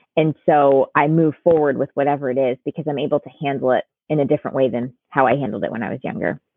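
Very fast, nearly pause-free speech from a woman with a very deep, low pitch and ordinary pitch variation. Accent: American. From US Northeast, Connecticut. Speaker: life coach. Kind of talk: interview.

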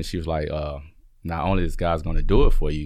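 Speaking very fast with fairly even intonation, a man with a Southern US accent uses a very deep, low pitch. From Alabama, Birmingham. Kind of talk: interview. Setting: studio.

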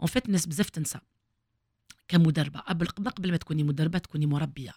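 Somewhat breathy and fairly low in pitch, a woman speaks at a fairly quick pace with ordinary pitch variation in a dry, close sound with no echo. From Algeria, Kabylie (Fiklma). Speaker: former footballer and coach. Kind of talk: interview.

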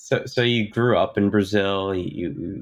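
The man has an unremarkable speaking voice, fairly low in pitch, with ordinary pitch variation. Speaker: podcast co-host. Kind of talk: interview.

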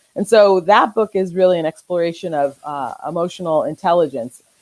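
In a normal speaking voice with an American accent, a woman talks at a moderate pace with a fairly low pitch, ordinary pitch variation and a dry, close sound with no echo. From Southern California, Orange County. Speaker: children's author and reading researcher. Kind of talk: podcast interview. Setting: livestream on Facebook Live and YouTube.

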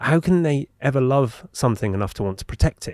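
Lively intonation marks this voice with an English accent, captured in a very clean recording with a silent background and a dry, close sound with no echo. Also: man. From England. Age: 40s. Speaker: podcast host. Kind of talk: interview conversation. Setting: studio.

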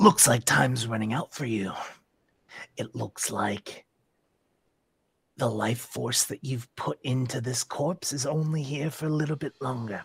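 A man uses a raspy, put-on character voice of medium pitch at a moderate pace. Long, frequent pauses break up his speech. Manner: taunting, smug, mock-casual menace.

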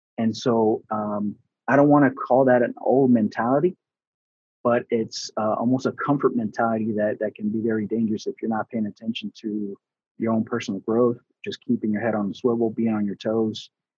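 This man has a plain, everyday voice, pitched at a medium level, delivered at a moderate pace with fairly even intonation. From US Southeast (Atlanta), born in Houston, Texas. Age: 40s. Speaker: construction safety manager and trainer. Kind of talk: casual interview.

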